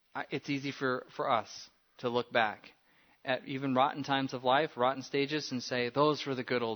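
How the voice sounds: A natural reading voice. Nothing else stands out.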